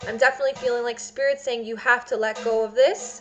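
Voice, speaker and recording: A woman talks at a fairly quick pace in a high pitch with lively intonation. Music plays in the background. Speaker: psychic tarot reader. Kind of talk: tarot reading for a client. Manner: fast; hesitant, many fillers.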